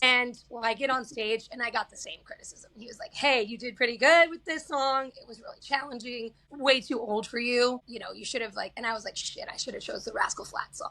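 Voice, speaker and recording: A woman with an American accent projects a raised, high-pitched voice with a bright, sharp tone. She talks at a fairly quick pace, with big swings in loudness. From Kansas. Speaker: singer-songwriter. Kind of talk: casual interview chat. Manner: animated.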